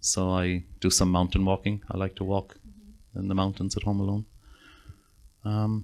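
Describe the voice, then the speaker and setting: Speaking at a moderate pace with a Northern Irish accent, a man talks at a very deep, low pitch in a monotone, flat way, with long, frequent pauses. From Northern Ireland. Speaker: psychotherapist. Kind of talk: interview.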